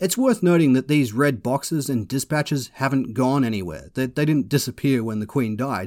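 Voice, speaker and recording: Furious and lively in intonation, the speaker talks at a moderate pace with an Australian accent and hardly any pauses. The recording is very clean, with a silent background. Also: man, medium pitch for a man. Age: 30s. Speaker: podcast host and commentator. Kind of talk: angry rant. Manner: furious, sweary, ranting with sarcastic bite.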